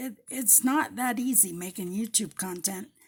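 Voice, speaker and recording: In a very clean recording with a silent background, a woman talks at a fairly slow pace with an American accent. Her fairly high voice is somewhat breathy. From Colorado, US. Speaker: paper crafter. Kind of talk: crafting tutorial. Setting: home craft table, overhead camera. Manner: casual, chatty.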